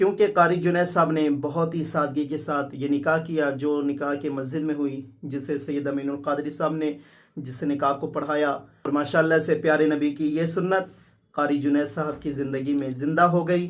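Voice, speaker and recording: A man's fairly high-pitched voice in a monotone, flat delivery. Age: 20s. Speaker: vlogger. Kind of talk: vlog talk to camera. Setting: at home after wedding.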